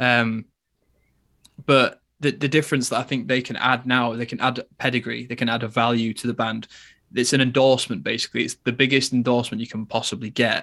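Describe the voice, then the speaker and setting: A man with an English accent, fairly quick pace, medium pitch, fairly even intonation and a bright, sharp tone. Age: 20s. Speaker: metal guitarist. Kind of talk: casual chat. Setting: video call.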